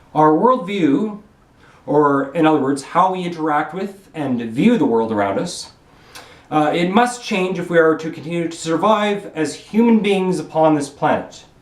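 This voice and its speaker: A man's fairly high voice in a Canadian accent, lively intonation and moderate pace, with noticeable background noise and audible room echo. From Canada. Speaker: vlogger giving speeches. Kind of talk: monologue speech to camera. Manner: repetitive, halting; slurring.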